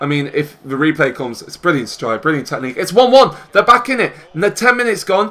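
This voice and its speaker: Speaking with a British accent, a man uses an animated tone. His intonation is lively. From UK. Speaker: gaming YouTuber. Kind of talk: casual gameplay commentary with live match commentary. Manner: animated, excitable match-call delivery; chatty, upbeat, addresses viewers. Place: home room.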